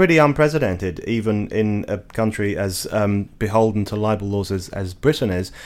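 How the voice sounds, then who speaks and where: In a very clean recording with a silent background, a man with an English accent speaks at a moderate pace, his fairly low pitch showing ordinary variation. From England. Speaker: journalist and editor. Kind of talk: interview.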